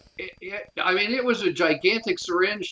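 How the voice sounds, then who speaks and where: An ordinary speaking voice from a man with an American accent moves at a moderate pace with ordinary pitch variation. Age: 60s. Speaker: near-death experience survivor. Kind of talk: testimony.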